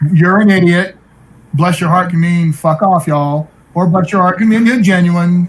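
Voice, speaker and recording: This man has an American accent, a high pitch, and ordinary pitch variation. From US South (Tennessee, Atlanta, Georgia). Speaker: game show host. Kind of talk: casual chat.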